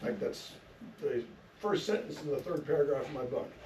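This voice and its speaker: A man's voice with audible room echo. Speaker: author and history speaker. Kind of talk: public lecture. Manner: halting, many fillers.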